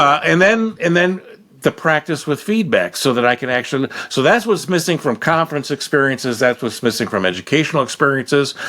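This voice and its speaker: An American man talks at a fairly quick pace in a fairly high, bright, sharp voice with very wide pitch swings. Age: 70s. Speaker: learning and development consultant, Navy veteran. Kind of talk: podcast interview. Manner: halting.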